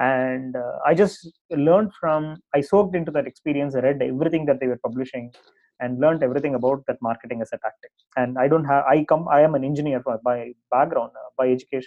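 With a Tamil accent, this man talks at a very fast pace, his fairly high pitch showing ordinary pitch variation. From India, Tamil Nadu. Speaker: startup CEO and co-founder. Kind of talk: interview. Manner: hesitant, many fillers.

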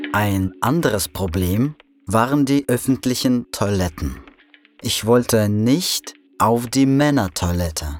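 A man with a Russian accent speaks at a very slow pace, medium in pitch, with lively intonation. Music plays in the background. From Russia, provincial town. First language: Russian (speaking German). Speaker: immigrant sharing personal story. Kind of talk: scripted narration. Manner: slow and clear.

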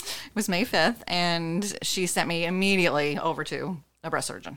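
A woman's fairly low, normal speaking voice with ordinary pitch variation, on a very clean recording with a silent background. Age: 50s. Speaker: breast cancer survivor. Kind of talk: interview testimony.

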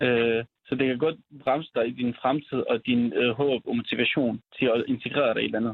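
A man speaks at a moderate pace and a medium pitch. His loudness stays very even, and his intonation is fairly even too. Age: 20s. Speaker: youth counsellor and social work student. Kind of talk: remote interview. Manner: halting.

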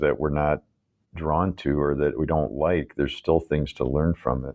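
A man with a Midwestern American accent speaks at a moderate pace in a very deep, low pitch with fairly even intonation. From US Midwest, Chicago. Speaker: restaurant business co-founder. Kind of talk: interview conversation.

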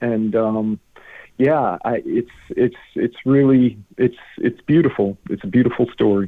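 With an American accent, a man talks in a plain, everyday voice at medium pitch, with ordinary pitch variation and a fairly slow pace. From US Midwest, Illinois. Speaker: guest sharing a faith story. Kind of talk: testimony.

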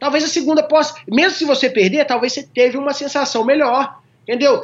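At a fairly quick pace, a man talks with an extremely high pitch and ordinary pitch variation. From Minas Gerais, Brazil (Formiga, interior). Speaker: jiu-jitsu champion. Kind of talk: casual interview chat.

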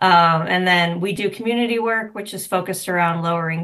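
At a moderate pace and with fairly even intonation, it is a plain, everyday voice against a quiet background. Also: woman. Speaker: nonprofit executive director. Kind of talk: sponsor segment interview.

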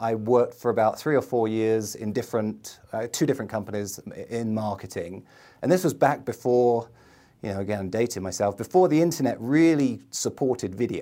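In a London accent, a man with a dark, mellow tone speaks at a moderate pace with lively intonation and big swings in loudness on a very clean recording with a silent background. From London, England. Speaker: entrepreneur, video ad agency owner. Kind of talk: casual interview chat.

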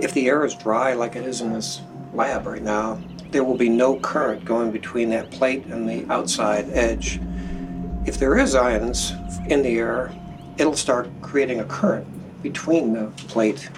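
Fairly slow speech with ordinary pitch variation, amid noticeable background noise and audible room echo. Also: man, medium pitch for a man. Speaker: technology executive. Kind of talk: lab tour explanation. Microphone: poor interview recording.

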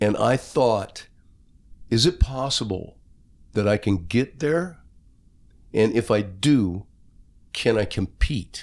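A man's medium-pitched voice with an American accent, very slow and full of long, frequent pauses, lively intonation, very even loudness, and a very clean recording over a silent background. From US West Coast, Long Beach. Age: 60s. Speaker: rock singer. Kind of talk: casual interview.

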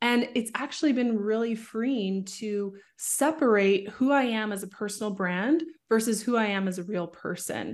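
A woman's unremarkable speaking voice, fairly high in pitch with ordinary variation, at a moderate pace, with a Canadian accent. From Canada, Vancouver suburbs. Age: 30s. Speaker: social media marketing coach. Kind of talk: interview.

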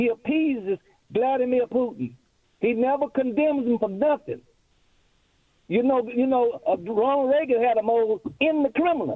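A man speaks at an extremely high pitch and a moderate pace, his loudness very even. He leaves long, frequent pauses. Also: ordinary pitch variation. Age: 80s. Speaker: caller. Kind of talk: phone call to talk radio. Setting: phone call. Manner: halting, repeats words.

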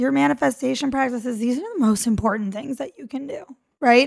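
A high-pitched woman speaks in an enthusiastic, animated tone with lively intonation. The recording is very clean, with a silent background. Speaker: podcast host and mentor. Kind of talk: solo motivational podcast talk.

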